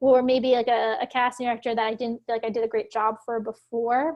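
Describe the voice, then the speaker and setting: A woman with an American accent speaks at a very fast pace. Her pitch is high. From Philadelphia, US. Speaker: actor. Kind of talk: interview conversation. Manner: speaks fast and higher when nervous.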